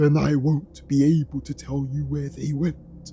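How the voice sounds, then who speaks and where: At a moderate pace, a man performs a put-on character voice over clear background noise. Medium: read story. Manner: evasive, quietly unsettling.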